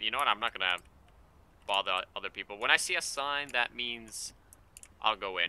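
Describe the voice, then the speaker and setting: A man's bright, sharp voice at a moderate pace, dry with no echo. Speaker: gaming YouTuber. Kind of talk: let's play gameplay commentary. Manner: casual, joking. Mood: joking, mildly frustrated. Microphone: headset.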